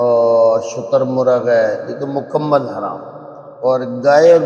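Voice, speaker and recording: Background noise is noticeable in this clip. The speaker is a man. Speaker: Quran reciter and teacher. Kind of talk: religious lecture explaining verses. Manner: conversational.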